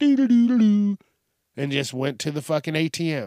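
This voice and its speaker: With a slight Southern US accent, a man speaks at a moderate pace with very wide pitch swings, in a dry, close sound with no echo on a very clean recording with a silent background. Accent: slight Southern twang at times. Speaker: solo podcast host. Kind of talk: comedic rant monologue. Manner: animated.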